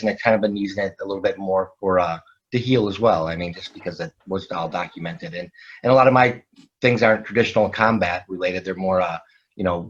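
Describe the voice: Here a man speaks at a fairly quick pace. His pitch is low, with ordinary variation.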